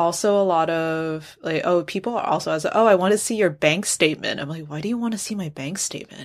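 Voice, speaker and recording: A woman's fairly low voice at a very fast pace with ordinary pitch variation, on a very clean recording, silent background. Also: hardly any pauses. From Taiwan. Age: 20s. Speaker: journalist. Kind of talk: interview.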